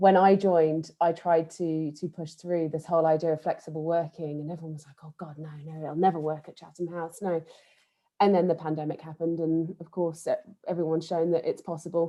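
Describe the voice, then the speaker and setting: A woman with an East Midlands accent speaks at a fairly quick pace in a monotone, flat intonation, her loudness swinging widely. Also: fairly low pitch for a woman. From Nottingham, England. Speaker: think tank staff member. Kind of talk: panel discussion. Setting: online video event.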